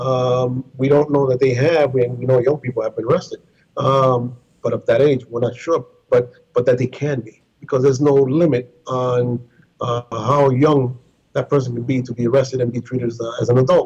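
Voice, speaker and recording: A man with a medium pitch speaks in a somewhat breathy voice. His intonation is monotone and flat, set against a quiet background. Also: moderate pace. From Puerto Rico. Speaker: civil liberties advocate. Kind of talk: interview. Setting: video call. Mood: serious, concerned. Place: office. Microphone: internet connection with possible glitches; video call.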